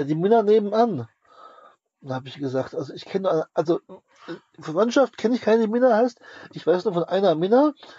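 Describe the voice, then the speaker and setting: Long, frequent pauses break up speech that otherwise moves at a fairly quick pace. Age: 30s. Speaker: podcast co-host. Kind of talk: casual chat.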